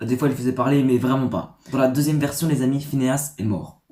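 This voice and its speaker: This man's voice is pitched fairly high. There is a somewhat breathy quality to it. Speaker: YouTuber. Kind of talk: casual vlog reading stories. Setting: dim room. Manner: soft-spoken.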